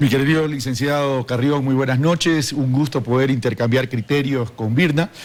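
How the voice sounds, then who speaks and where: With a normal speaking voice, a man speaks at a medium pitch and moderate pace, his intonation fairly even, his loudness very even and his speech with hardly any pauses. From Ecuador, Guayaquil. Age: 60s. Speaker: vice-presidential candidate. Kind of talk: televised political interview.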